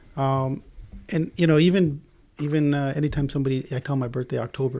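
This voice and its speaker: A very fast man's voice at medium pitch, dark and mellow in tone, with fairly even intonation. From Israel, moved to Southern California at eight. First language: Hebrew. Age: 40s. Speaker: podcast guest, stepfather. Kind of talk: casual interview chat.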